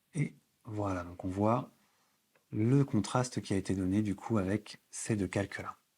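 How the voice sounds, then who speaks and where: At a fairly slow pace with long, frequent pauses, a man speaks at a fairly low pitch in a dark, mellow tone with ordinary pitch variation, in a very clean recording with a silent background. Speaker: photography instructor. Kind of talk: tutorial.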